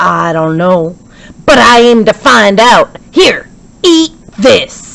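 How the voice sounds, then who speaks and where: A put-on, gruff character voice in a Western US accent, fairly high in pitch, very slow, with long, frequent pauses. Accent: Western cowboy drawl. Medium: read story. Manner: gruff, folksy.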